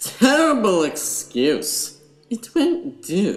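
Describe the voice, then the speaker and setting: Putting on a character voice, a man speaks very slowly at a high pitch with very wide pitch swings. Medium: audio drama.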